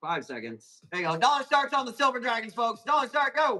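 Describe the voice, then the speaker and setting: A man with an American accent speaks in a raised, projected voice with lively intonation. Music plays in the background. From Arizona, US. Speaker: plant seller hosting live auctions. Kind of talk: live sales stream.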